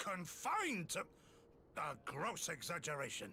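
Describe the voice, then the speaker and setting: Putting on a raspy character voice at a high pitch, a man talks at a moderate pace with lively intonation over clear background noise. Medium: video game. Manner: formal, archaic.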